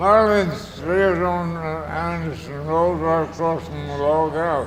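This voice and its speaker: Noticeable background noise and audible room echo surround a man of fairly high pitch, who speaks slowly-ish with fairly even intonation. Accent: American. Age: 90s. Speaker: elderly family member interviewed. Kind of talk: oral history interview.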